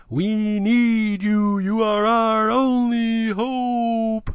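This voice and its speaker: A put-on character voice, fairly high in pitch, monotone and flat, at a very slow pace. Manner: odd stress pattern on words.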